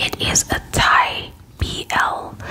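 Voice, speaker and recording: A woman whispers in a relaxed tone. Background noise is noticeable. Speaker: ASMR creator. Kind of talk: casual rambling talk to camera about TV dramas. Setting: recorded at home with background noise and planes passing. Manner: soft, relaxed.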